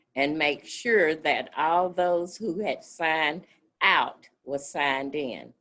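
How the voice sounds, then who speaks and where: Here a woman speaks at a very slow pace. The background is quiet. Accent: Mississippi. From US South, north Mississippi (Marshall County, Oxford). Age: 70s. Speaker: community organizer. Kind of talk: oral history interview.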